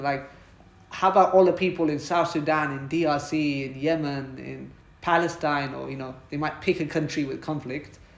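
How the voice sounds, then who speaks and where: With a British accent, a man speaks at a moderate pace in a fairly high pitch with fairly even intonation and big swings in loudness. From Britain. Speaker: podcast host. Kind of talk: conversational interview.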